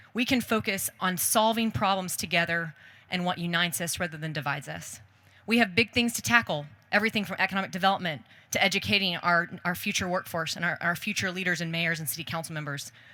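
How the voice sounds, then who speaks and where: On a very clean recording with a silent background, a woman with an American accent speaks very fast in a fairly low pitch, with a bright, sharp tone and ordinary pitch variation. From Texas, Hico. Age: 30s. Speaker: mayoral candidate. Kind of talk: campaign speech. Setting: outdoor public forum with audience.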